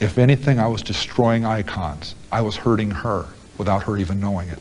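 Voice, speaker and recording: Amid noticeable background noise, a man speaks in a calm tone at a fairly low pitch with ordinary pitch variation. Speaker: convicted serial killer, prison interviewee. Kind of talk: interview answer. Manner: calm, measured, conversational.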